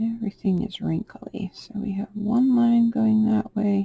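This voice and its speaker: A soft-spoken woman talks at a very slow pace in a dark, mellow, somewhat breathy tone, her intonation monotone and flat, the sound dry and close with no echo. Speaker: polymer clay sculptor. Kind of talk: tutorial. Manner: halting.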